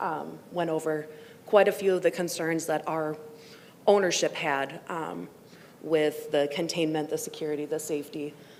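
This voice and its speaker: Over noticeable background noise, a woman speaks with a very deep, low pitch and fairly even intonation. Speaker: apartment complex representative. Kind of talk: public comment testimony. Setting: public meeting.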